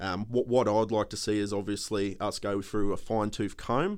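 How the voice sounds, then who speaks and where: At a moderate pace, a man with an Australian accent talks at a fairly low pitch with fairly even intonation. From Australia, Queensland (Townsville). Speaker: political candidate. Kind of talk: interview. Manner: halting.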